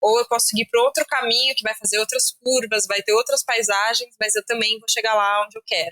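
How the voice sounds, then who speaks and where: Her tone bright and sharp, a woman speaks at a fairly quick pace with a fairly high pitch and fairly even intonation, in a dry, close sound with no echo. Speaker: journalist and podcast host. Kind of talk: interview conversation. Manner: fast.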